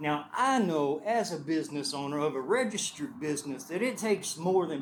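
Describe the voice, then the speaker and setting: A man with a Texas accent speaks at a moderate pace and fairly high pitch, his voice making very wide pitch swings. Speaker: property owner, business owner. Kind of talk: public comment at meeting. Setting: community meeting with audience. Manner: loud.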